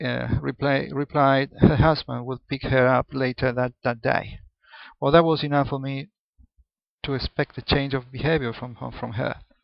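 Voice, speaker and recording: A man speaks fairly slowly at medium pitch. His intonation stays fairly even. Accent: Spanish. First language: Spanish. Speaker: accountant. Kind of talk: personal monologue video. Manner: halting, many false starts.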